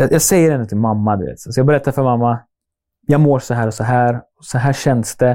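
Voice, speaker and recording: A man's dark, mellow voice moves at a fairly quick pace with ordinary pitch variation. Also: medium pitch for a man, big swings in loudness, very clean recording, silent background. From Sweden, Norrköping. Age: 30s. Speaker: YouTuber. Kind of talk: casual interview.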